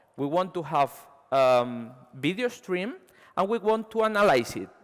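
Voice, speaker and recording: Very wide pitch swings from a man, at a fairly slow pace. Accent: Spanish. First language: Spanish. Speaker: software engineer. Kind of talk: conference talk. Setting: stage with audience. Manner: halting, many fillers.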